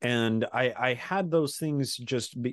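A man with a Utah accent against a quiet background. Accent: Utah American English. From Utah, suburb of Salt Lake City. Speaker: podcaster and independent history researcher. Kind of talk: interview conversation.

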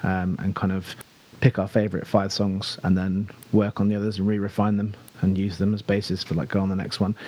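A man with a southern English accent, fairly low pitch, dark, mellow tone and fairly quick pace. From southern England (Buckinghamshire). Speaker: rock band singer. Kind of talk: casual chat.

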